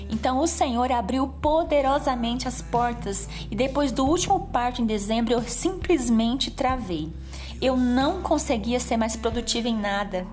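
Heard with audible room echo and noticeable background noise, the speaker goes at a fairly slow pace with ordinary pitch variation. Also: woman, high pitch for a woman. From interior of São Paulo state, Brazil. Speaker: devotional speaker. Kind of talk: devotional sermon.

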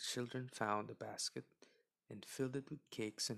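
A quiet backdrop behind reading aloud in a natural voice

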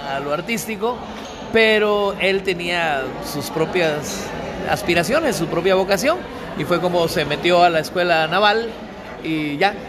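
Against noticeable background noise and audible room echo, a man talks with ordinary pitch variation. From Veracruz, Mexico (Papaloapan basin), childhood partly in Guatemala. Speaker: singer-songwriter. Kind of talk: interview.

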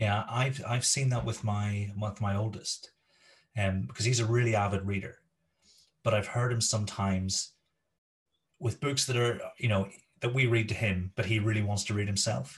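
A man with a slight Scottish accent speaks at a moderate pace and a fairly low pitch, somewhat breathy. His intonation is fairly even, broken by long, frequent pauses. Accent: Scottish-tinged. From Scotland. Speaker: education podcast host. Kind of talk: interview. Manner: hesitant with fillers.

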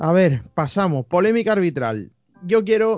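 With a plain, everyday voice, a man speaks at a fairly slow pace and with lively intonation. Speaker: podcast host. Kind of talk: casual chat. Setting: video call.

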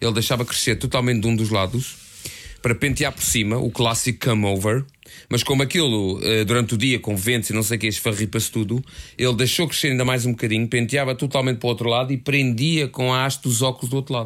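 Talking at a very fast pace, a man keeps a medium pitch, very even loudness and fairly even intonation. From Portugal, Lisbon area (Algés). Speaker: podcast co-host, novelist. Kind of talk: casual chat.

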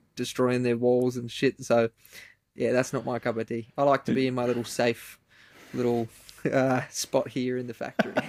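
Here a man speaks at a moderate pace with an Australian accent. His intonation is flat and monotone. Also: medium pitch for a man. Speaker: furniture maker and podcast host. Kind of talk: casual chat.

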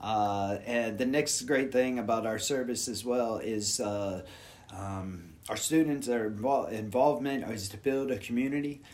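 At a fairly slow pace, a man with an American accent talks at medium pitch with ordinary variation. There is audible echo from the room. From Houston, Texas. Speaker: yoga teacher. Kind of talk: casual interview.

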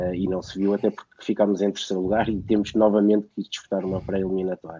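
This man's voice is fairly low, with a dark, mellow tone and monotone, flat intonation. The sound is dry and close with no echo, over a quiet background. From Portugal, Lisbon. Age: 40s. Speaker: football fan and guest commentator. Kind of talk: panel discussion.

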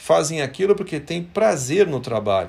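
At a fairly slow pace, this voice carries vocal fry and very wide pitch swings. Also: man. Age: 50s. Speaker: company executive. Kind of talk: motivational company devotional talk.

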